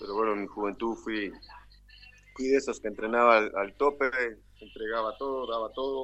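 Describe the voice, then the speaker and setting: A man talks at a moderate pace and a medium pitch, with long, frequent pauses. His tone is bright and sharp and his intonation fairly even. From Uruguay, Artigas (Brazilian border). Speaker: retired footballer. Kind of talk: casual interview.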